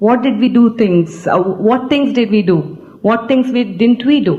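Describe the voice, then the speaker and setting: Somewhat breathy and with a non-native accent, a woman talks at a moderate pace with ordinary pitch variation, with audible room echo. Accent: non-native, foreign. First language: an Indian language. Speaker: business team leader. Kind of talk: stage speech. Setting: stage with audience. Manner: halting.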